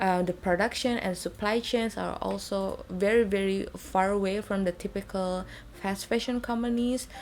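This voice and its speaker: In an Indonesian accent, a woman at a medium pitch keeps a moderate pace with fairly even intonation and hardly any pauses. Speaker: beauty and fashion vlogger. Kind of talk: product review. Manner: halting, many fillers.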